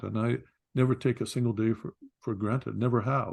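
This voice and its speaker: Against a quiet background, a man with a medium pitch and vocal fry speaks at a moderate pace. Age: 60s. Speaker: outfitter and hunting TV host. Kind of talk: casual interview conversation. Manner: halting, many repetitions.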